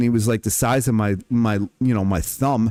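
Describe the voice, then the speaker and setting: A man talks at a fairly quick pace on a very clean recording with a silent background. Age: 40s. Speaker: livestreamer. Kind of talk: casual livestream monologue. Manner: rambling, halting with fillers.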